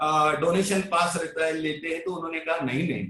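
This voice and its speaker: The speaker is a man. He talks with a Marathi accent. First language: Marathi (speaking Hindi). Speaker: Sai devotee and bhajan preacher. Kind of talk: devotional talk.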